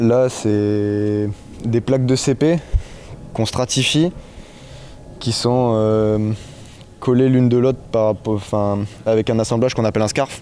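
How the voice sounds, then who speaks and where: A man speaks fairly slowly, with light background noise behind him. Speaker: apprentice boat carpenter. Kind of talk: interview. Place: workshop. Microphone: handheld.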